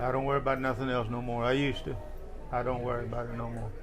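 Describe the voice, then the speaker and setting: A man with an American accent at a fairly quick pace, monotone and flat, with audible room echo and music in the background. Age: 60s. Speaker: martial arts veteran and Vietnam veteran. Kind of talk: interview.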